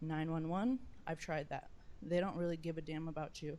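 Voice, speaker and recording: A woman with a dark, mellow tone and fairly low pitch speaks at a fairly quick pace. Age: 30s. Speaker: parent giving public comment. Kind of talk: public comment at school board meeting.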